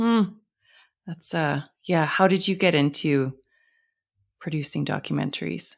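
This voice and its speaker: A woman with a very deep, low pitch and vocal fry speaks at a fairly slow pace, with ordinary pitch variation and long, frequent pauses. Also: very clean recording, silent background. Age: 40s. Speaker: podcast host. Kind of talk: casual interview.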